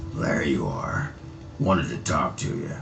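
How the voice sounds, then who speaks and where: Over clear background music, a man performs a put-on character voice at a moderate pace. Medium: video game. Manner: gruff, crude, boisterous.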